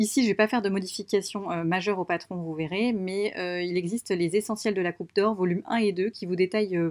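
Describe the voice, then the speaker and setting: A woman races along at a very fast pace, her intonation fairly even. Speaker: sewing youtuber. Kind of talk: tutorial. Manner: hesitant, many fillers; soft-spoken.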